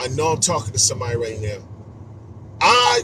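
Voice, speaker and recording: A man talks animatedly while noticeable noise goes on behind him. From New York City (Queens, Astoria projects). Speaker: motivational speaker. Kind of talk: motivational talk on a live stream. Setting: social media live stream.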